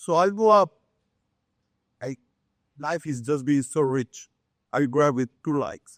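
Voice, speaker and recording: A fairly high-pitched man with a Mexican accent, ordinary pitch variation and a fairly slow pace, in a dry, close sound with no echo. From Mexico City, Mexico. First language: Spanish. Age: 60s. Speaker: contractor. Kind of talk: life story talk. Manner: animated.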